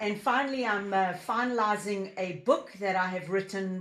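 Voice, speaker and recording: A woman with a South African accent speaks at a moderate pace. Noticeable background noise can be heard. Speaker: business founder and leadership coach. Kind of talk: interview podcast.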